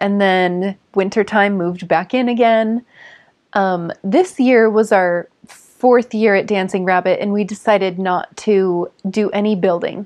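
A woman with an American accent, fairly slow and fairly even in intonation, over a quiet background. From Southern California. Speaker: ecovillage resident. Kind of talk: documentary interview. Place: home room.

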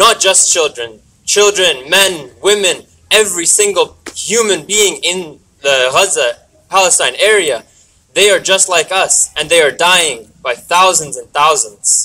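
A raised, projected voice with a bright, sharp tone moves at a fairly slow pace with ordinary pitch variation over light background noise. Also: man, high pitch for a man. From Canada. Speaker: student activist. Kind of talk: rally speech. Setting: outdoors rally with crowd. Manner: earnest, emotional, halting; impassioned, pleading. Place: street.

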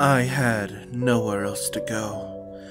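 Someone speaks in a put-on character voice at a very slow pace over clear background music. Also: man. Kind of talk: comic dub narration. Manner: slow, somber.

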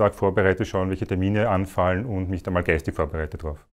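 A man speaks with a normal speaking voice at a fairly low pitch. His intonation stays fairly even. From Austria, Vienna (Meidling); Vienna. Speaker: company department head. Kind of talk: corporate career interview. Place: office. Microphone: lapel.

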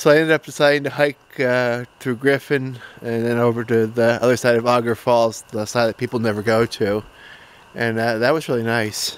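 Through a dry sound with no echo, a man speaks at a moderate pace with fairly even intonation. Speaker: camper vlogger. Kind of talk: casual vlog chat. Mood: relaxed, easygoing. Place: forest. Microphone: phone near.

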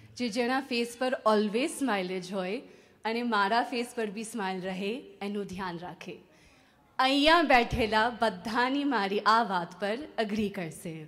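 A woman with a non-native accent speaks at a fairly high pitch while faint music plays in the background. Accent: non-native Gujarati. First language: English (speaking Gujarati). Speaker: bride-to-be giving a speech. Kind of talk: prepared speech. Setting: engagement party with audience. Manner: careful, effortful second-language delivery. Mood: warm, joyful, smiling. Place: hall. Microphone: handheld.

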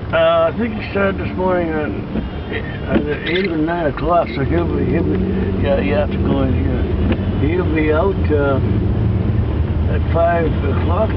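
A man speaks at a fairly slow pace with long, frequent pauses. The sound is dry with no echo, set against loud background noise. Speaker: passenger, the uploader's father. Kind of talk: casual conversation in a car. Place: car. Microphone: phone near.

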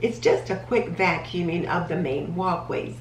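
Audible room echo and light background noise surround a woman whose voice sits fairly low. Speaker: home organizing vlogger. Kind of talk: tutorial. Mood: calm, friendly. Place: kitchen. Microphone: camera far.

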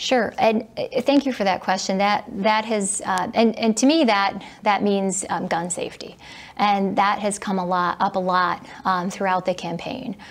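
A woman speaks with a Midwestern American accent. Her pace is fairly slow. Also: ordinary pitch variation. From Michigan (Southfield); Michigan. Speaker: political candidate, attorney; candidate. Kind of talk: candidate interview. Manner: hesitant, many fillers. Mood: earnest, calm. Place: studio.

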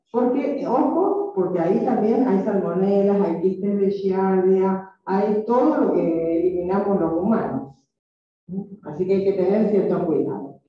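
A woman speaks at a fairly slow pace against a quiet background. Strong room echo surrounds her voice. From Argentina. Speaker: microbiology professor. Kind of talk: lecture. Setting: classroom. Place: classroom.

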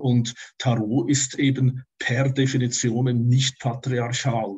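Against a quiet background, a man with a Swiss German accent speaks in a somewhat breathy voice. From Switzerland. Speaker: tarot teacher and astrologer; tarot teacher. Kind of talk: interview. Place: home room. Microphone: webcam.

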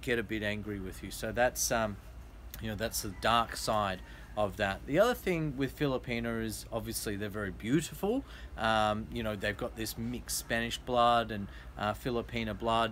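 Light background noise sits behind the speaker. A man talks at a moderate pace with an Australian accent. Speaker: vlogger / interviewer. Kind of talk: casual interview. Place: garden. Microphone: phone near.

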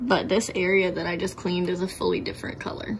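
A woman speaks in a plain, everyday voice, fairly low in pitch, at a moderate pace. There is light background noise. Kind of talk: tutorial. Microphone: phone near.

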